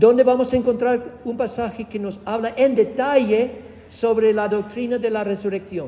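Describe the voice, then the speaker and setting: A man with a Spanish accent speaks at a fairly slow pace in a high voice with ordinary pitch variation, over noticeable background noise. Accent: Spanish of Spain. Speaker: preacher teaching doctrine. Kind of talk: doctrinal teaching sermon. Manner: engages audience with questions; hesitant, with fillers and repetitions.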